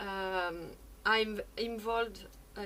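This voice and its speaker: Over noticeable background noise and audible room echo, a woman speaks very slowly at a medium pitch with monotone, flat intonation. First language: not English. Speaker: experimental musician. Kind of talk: conference talk. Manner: halting.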